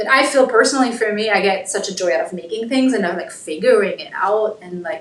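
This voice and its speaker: In a slight German accent, the speaker talks at a very fast pace with hardly any pauses and ordinary pitch variation. Loudness swings widely, and there is noticeable background noise. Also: woman, fairly high pitch for a woman. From Germany. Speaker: cosplayer. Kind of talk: casual chat.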